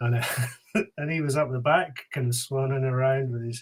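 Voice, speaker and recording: Somewhat breathy male voice, medium-pitched, at a moderate pace. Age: middle-aged. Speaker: podcast host. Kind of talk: casual chat.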